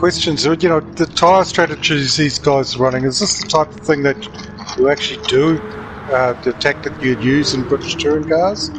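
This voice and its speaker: A man with a New Zealand accent speaks at a fairly high pitch, with noticeable background noise. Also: ordinary pitch variation, moderate pace. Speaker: sim racing co-commentator. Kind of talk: live race commentary.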